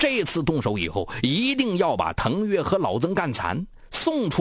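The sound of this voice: An unforced reading voice is what the recording holds.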